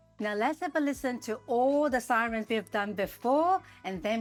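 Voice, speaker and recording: A woman's lively, bouncing intonation at a moderate pace, with music in the background. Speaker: physiotherapist; singer. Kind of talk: educational talk to camera.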